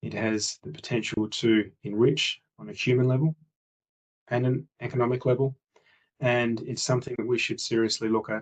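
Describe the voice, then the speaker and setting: Speaking at a moderate pace, a man with an Australian accent has a medium pitch. His intonation stays fairly even. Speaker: international relations executive speaking at summit. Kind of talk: conference presentation. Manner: measured with frequent hesitations (uh).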